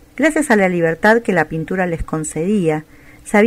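A natural reading voice delivers the passage.

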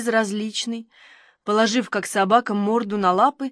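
The reading aloud is plain, with intonation that changes only a little.

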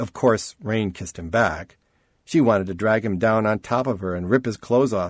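The speaker uses an unforced reading voice with ordinary pitch variation. The background is quiet.

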